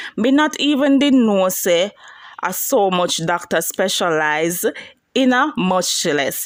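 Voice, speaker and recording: A woman speaks at a medium pitch with very wide pitch swings. Her pace is very slow. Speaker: celebrity news blogger. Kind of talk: entertainment news talk to camera.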